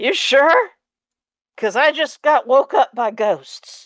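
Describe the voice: A female-sounding, raspy voice is put on as a character. It is high in pitch and fairly slow.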